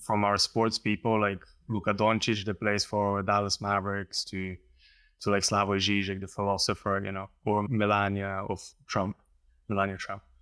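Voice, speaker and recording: Spoken at a moderate pace in a Slovenian accent, the voice has a bright, sharp tone and a flat, monotone delivery. The recording is very clean and dry, close-miked with no echo against a silent background. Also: man, fairly low pitch for a man. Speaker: painter. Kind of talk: interview conversation. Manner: halting.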